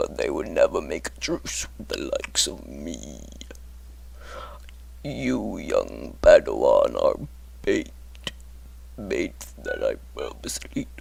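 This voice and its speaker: Doing a put-on character voice with a menacing tone, a man speaks fairly slowly with long, frequent pauses over noticeable background noise. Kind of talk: character monologue. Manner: slow, menacing.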